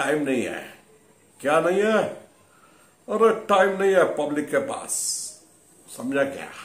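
A man at a very slow pace, with audible room echo. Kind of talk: comic monologue in a mock interview. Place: home room. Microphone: phone near.

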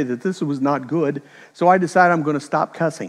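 Over a quiet background, a man talks very fast at a fairly high pitch with ordinary pitch variation. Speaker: preacher. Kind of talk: sermon. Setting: church. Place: church. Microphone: headset.

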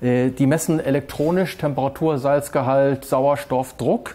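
A man with ordinary pitch variation. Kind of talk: interview answer. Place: boat.

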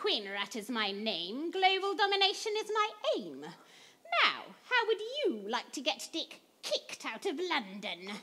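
This is a put-on character voice with very wide pitch swings. It moves at a fairly slow pace. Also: female-sounding voice, high pitch for a woman. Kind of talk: pantomime villain overacting. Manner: gleeful, scheming, bossy.

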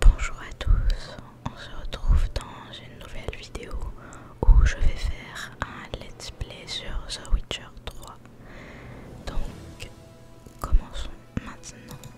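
Someone whispers at a very slow pace. Long pauses come often. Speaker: ASMR gamer. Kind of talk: ASMR gaming commentary. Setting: home studio microphone. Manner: whispered. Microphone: studio mic.

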